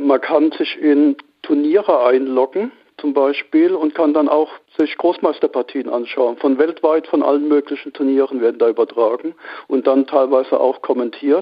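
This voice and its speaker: A man with an ordinary speaking voice talks at a moderate pace. His intonation is fairly even and his loudness very even. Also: fairly high pitch for a man. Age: 50s. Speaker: amateur stock trader. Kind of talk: interview.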